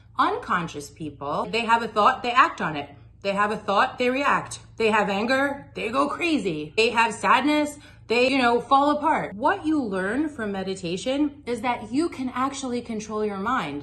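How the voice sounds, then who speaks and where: A woman's bright, sharp tone carries vocal fry and very wide pitch swings at a moderate pace. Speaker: meditation teacher. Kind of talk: tutorial. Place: home room. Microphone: phone near.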